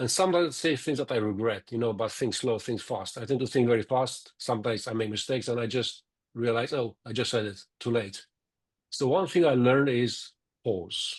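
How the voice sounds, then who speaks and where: With a quiet background behind him, a man speaks fairly quickly and shows ordinary pitch variation. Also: medium pitch for a man. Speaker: project manager. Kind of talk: panel discussion. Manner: fast.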